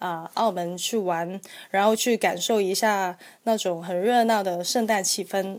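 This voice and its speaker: On a very clean recording with a silent background, a woman speaks at a fairly slow pace, medium in pitch, with fairly even intonation. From Guangzhou, southern China. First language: Cantonese (speaking Chinese). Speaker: travel blogger. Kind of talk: casual chat.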